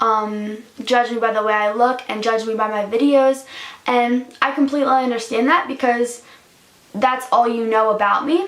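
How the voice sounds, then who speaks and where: A woman's high voice at a moderate pace, with fairly even intonation and noticeable background noise. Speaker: YouTuber. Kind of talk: personal vlog confession. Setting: home, in front of a camera. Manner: hesitant, many fillers.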